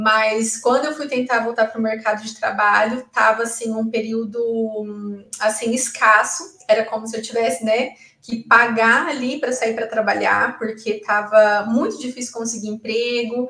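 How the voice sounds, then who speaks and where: A woman's fairly high voice carries an audible echo from the room. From Brazil, Londrina, Paraná; Paraná, Brazil. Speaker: public exam candidate, former student; public candidate. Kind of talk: interview testimony. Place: office. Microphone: earbuds.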